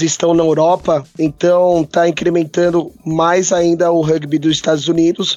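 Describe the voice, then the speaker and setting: Music plays behind a man who talks at a fairly slow pace in a high pitch. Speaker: rugby podcast co-host. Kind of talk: casual sports chat.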